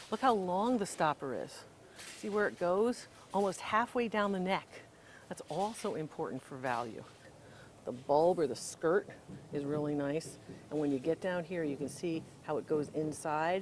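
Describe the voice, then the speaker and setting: A woman's fairly low voice with lively intonation, moderate pace and long, frequent pauses, over light background noise. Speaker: antiques appraiser host. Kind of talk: casual shopping vlog with expert commentary. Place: shop. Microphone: lapel.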